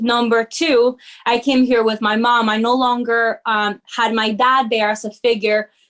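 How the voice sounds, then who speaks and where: Fairly slow, fairly high-pitched speech from a woman. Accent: Spanish. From Peru, moved to New Jersey at 13. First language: Spanish. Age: young. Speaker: corporate sales lead and community founder. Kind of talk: interview. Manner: animated.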